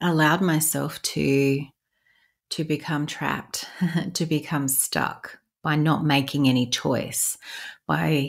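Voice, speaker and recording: On a very clean recording with a silent background, a woman speaks very slowly in a very deep, low voice, monotone and flat, with long, frequent pauses. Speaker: spiritual podcast host, light language practitioner. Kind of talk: podcast monologue. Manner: pausing, stumbling over words at times.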